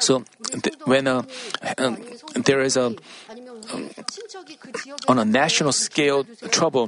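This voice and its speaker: The speech comes at a fairly slow pace with fairly even intonation and long, frequent pauses, with noticeable background noise behind it. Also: man, medium pitch for a man. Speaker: sermon interpreter. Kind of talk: sermon. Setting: church.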